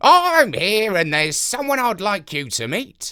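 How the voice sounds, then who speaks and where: Putting on a character voice, a man projects loudly at a high pitch with very wide pitch swings. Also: moderate pace. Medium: read story. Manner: casual, slangy.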